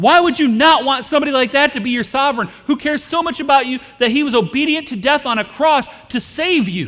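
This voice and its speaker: The voice is loud and the delivery very fast. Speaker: pastor. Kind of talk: sermon. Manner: animated.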